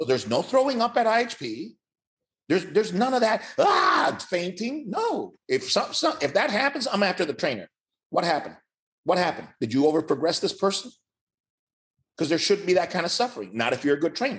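This man talks at a fairly quick pace with a high pitch. His voice rises and falls in very wide swings. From Cuba, raised in Miami. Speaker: fitness educator and trainer. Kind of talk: casual interview.

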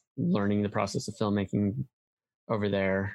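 With an American accent, this is a plain, everyday voice. It moves along at a moderate pace. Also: man. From US Midwest (Iowa). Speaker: filmmaker. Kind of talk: casual interview.

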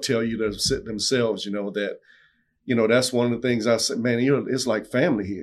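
A man talks in a South Louisiana accent at medium pitch with ordinary pitch variation. The background is quiet. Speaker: owner-operator truck driver. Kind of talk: casual interview. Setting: studio.

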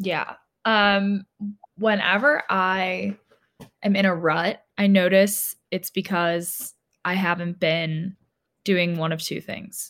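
A woman's medium-pitched voice in an American accent, very slow, with long, frequent pauses. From Cleveland, Ohio. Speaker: podcast co-host, guest. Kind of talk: casual interview. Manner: animated.

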